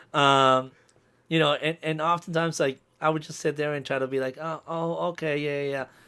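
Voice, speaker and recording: A man with a Spanish accent talks fairly quickly in a fairly high, bright and sharp voice, his intonation flat and monotone, on a very clean recording with a silent background. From Colombia, moved to small-town US as a child. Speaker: DJ. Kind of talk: podcast interview.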